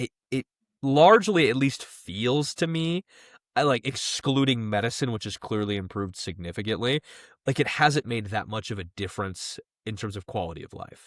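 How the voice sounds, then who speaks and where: Recorded dry and close with no echo on a very clean, silent background, a man speaks at a medium pitch and moderate pace with lively intonation. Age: 20s. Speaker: podcast co-host. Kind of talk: casual chat. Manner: halting, many fillers.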